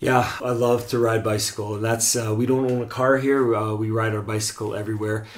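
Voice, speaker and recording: Over noticeable background noise and audible room echo, a man talks at a very fast pace with hardly any pauses and monotone, flat intonation. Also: medium pitch for a man. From Canada. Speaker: co-host's husband, charity worker. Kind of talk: casual chat.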